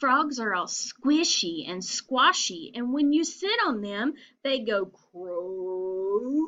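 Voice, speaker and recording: Someone uses a put-on character voice at a very slow pace. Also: woman, fairly high pitch for a woman. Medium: read story. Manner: curious, uncertain.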